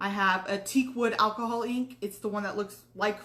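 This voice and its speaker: Over noticeable background noise, a woman talks at a moderate pace with a monotone, flat intonation. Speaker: craft tutorial host. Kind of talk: tutorial. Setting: live stream. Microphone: too quiet at first.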